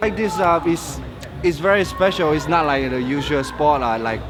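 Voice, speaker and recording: Music plays in the background, and there is audible room echo. A man talks at a fairly quick pace. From Malaysia. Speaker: workshop participant. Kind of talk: interview. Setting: fitness convention.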